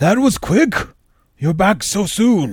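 A man puts on a character voice pitched high. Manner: cranky but not evil.

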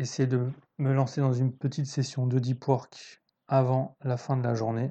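A man talks at a fairly slow pace. His medium-pitched voice has a dark, mellow tone. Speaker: podcast host on trading psychology. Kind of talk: solo podcast monologue, book review. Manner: hesitant, many fillers and repetitions; improvised, thinking aloud.

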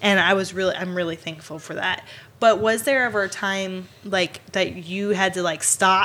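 An ordinary speaking voice in an American accent at a moderate pace. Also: woman. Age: 20s. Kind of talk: casual chat.

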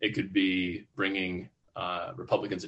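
Speaking in an American accent, the man's voice sits at a very deep, low pitch. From US Midwest. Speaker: entrepreneur and author. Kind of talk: interview.

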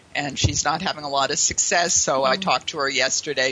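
A woman with an American accent at a moderate pace. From Pittsburgh, Pennsylvania, US. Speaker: sales trainer. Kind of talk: interview.

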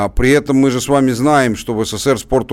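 A man talks at a fairly quick pace and medium pitch, his tone animated. The recording is very clean, with a silent background. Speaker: radio co-host, political commentator. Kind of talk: radio talk show discussion. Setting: studio.

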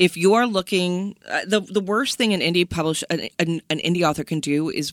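A woman with an unremarkable speaking voice and fairly low pitch speaks at a moderate pace, the sound dry and close with no echo in a very clean recording with a silent background. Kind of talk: interview, conversational.

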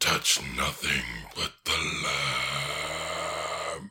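This is a put-on character voice. It growls. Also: man, extremely high pitch for a man. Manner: commanding, ominous.

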